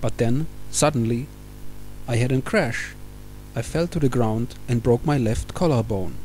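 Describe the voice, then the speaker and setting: A man's somewhat breathy, medium-pitched voice with a dark, mellow tone and a Czech accent, at a moderate pace with ordinary pitch variation. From Czech Republic. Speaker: mountain biker. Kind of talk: opinion monologue.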